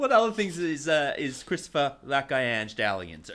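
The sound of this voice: With a fairly bright tone, a man talks at a fairly slow pace and fairly high pitch.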